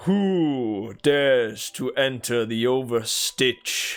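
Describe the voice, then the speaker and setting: A man's loud, put-on character voice at medium pitch, very slow pace, with faint music in the background. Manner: loud, authoritative.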